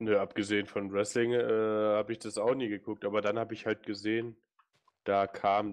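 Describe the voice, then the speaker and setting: Monotone, flat intonation from a man with a fairly low pitch. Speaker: gaming YouTuber. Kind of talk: casual chat.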